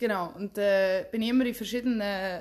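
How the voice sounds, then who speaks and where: At a fairly quick pace, a woman talks in a plain, everyday voice with a medium pitch. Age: 20s. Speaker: podcast co-host, trained hotel specialist. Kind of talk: casual chat. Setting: recording face to face with co-host.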